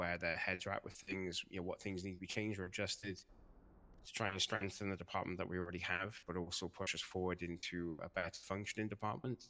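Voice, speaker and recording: This man's voice is very deep and low, with a bright, sharp tone. His intonation stays fairly even. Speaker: roleplay police officer candidate. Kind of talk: job interview pitch in roleplay. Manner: pausing.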